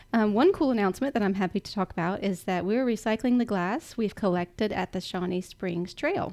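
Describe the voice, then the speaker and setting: A woman at a medium pitch with ordinary pitch variation, a fairly quick pace and hardly any pauses, before a quiet background. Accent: Southern US. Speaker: city communications staffer. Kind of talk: announcements.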